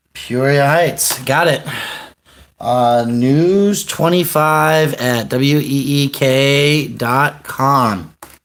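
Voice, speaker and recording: Amid audible room echo, a man with a fairly high pitch speaks at a very slow pace. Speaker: livestreamer and activist. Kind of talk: phone call news tip.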